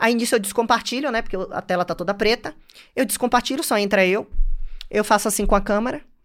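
In a northeastern Brazilian accent, a woman speaks very fast with an animated tone, a fairly high pitch, and ordinary pitch variation, in a very clean recording with a silent background. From Bahia, Brazil (Salvador / interior). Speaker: finance entrepreneur. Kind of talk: interview conversation.

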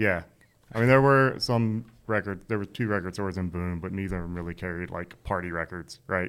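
On a very clean recording with a silent background, a man with a very deep, low pitch talks at a fairly quick pace with ordinary pitch variation. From North Carolina. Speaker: DJ. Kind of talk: casual chat.

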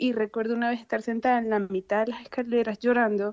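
The sound is dry and close with no echo. A woman talks at a fairly quick pace in a monotone, flat intonation. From Venezuela, Maracaibo. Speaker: guest, Venezuelan migrant, mother. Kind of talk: casual chat. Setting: phone call.

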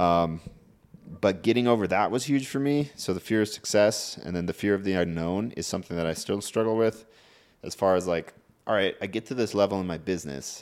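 A man with a normal speaking voice, fairly low in pitch, ordinary pitch variation and a fairly quick pace, on a very clean recording with a silent background. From Montana. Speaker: bodybuilder and fitness coach. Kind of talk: casual chat.

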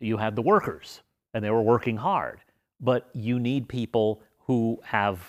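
An unremarkable speaking voice belongs to a man with an American accent, medium in pitch and moderate in pace. The recording is very clean, with a silent background. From Las Vegas, Nevada. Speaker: history professor. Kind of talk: interview conversation.

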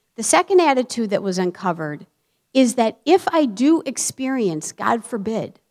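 A woman talks in an ordinary speaking voice at a fairly high pitch and a moderate pace, with a dry, close sound and no echo. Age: 50s. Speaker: therapist and preacher. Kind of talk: sermon. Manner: frequent filler words, conversational.

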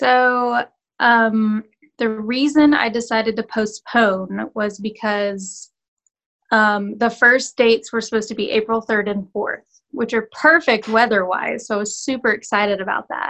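A woman with a normal speaking voice and a fairly high pitch talks at a fairly slow pace against a quiet background. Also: fairly even intonation. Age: 20s. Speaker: actress and filmmaker. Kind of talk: casual chat. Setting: video call. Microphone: phone.

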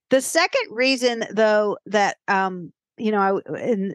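Against a quiet background, a woman speaks at a fairly slow pace with fairly high pitch, in a dry, close sound with no echo. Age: 50s. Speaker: podcast host. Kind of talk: casual chat.

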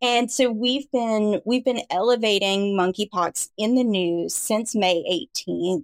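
Using lively intonation, a woman with a plain, everyday voice speaks at a fairly slow pace in a medium pitch, with a dry, close sound with no echo. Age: 40s. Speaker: communications director. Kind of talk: interview.

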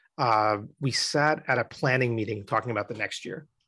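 A man speaks at a medium pitch with ordinary pitch variation. His pace is moderate, over a quiet background. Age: 40s. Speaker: media content executive. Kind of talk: casual interview chat. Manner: animated.

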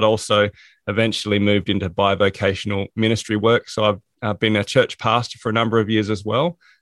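With an Australian accent, the speaker talks at a fairly quick pace and with fairly even intonation. The sound is dry and close with no echo, over a quiet background. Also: man. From South Australia. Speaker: productivity coach and author. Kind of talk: interview.

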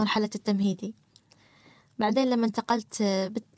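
A woman with a Gulf accent is heard in a dry, close sound with no echo. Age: 30s. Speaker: person sharing experience of social anxiety. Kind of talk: personal testimony in interview. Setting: studio.

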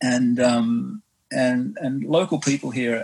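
This man has an Australian accent and a medium pitch. His intonation stays fairly even. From Western Australia, Perth. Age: 50s. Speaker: swim runner, marine biologist. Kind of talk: casual interview. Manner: halting, many fillers.

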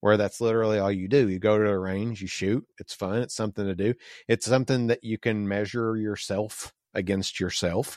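A plain, everyday voice with an American accent speaks at a fairly quick pace, its intonation fairly even. The recording is very clean with a silent background and a dry, close sound with no echo. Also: man, fairly low pitch for a man. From US South. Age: 40s. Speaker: podcast host. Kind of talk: casual chat.

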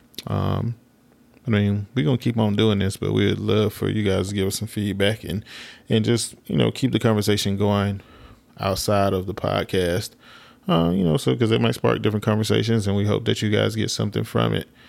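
Over a very clean recording with a silent background, a man with a Southern US accent talks at a fairly quick pace, his fairly low pitch showing ordinary variation. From southwest Alabama. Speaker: podcast co-host. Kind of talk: casual chat. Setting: studio in Atlanta.

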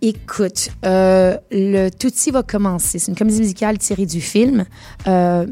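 In a Quebec accent, a woman speaks at a fairly slow pace and a medium pitch. Her tone is dark and mellow, with fairly even intonation. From Quebec, Montreal. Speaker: singer and musical theatre performer. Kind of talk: radio interview.

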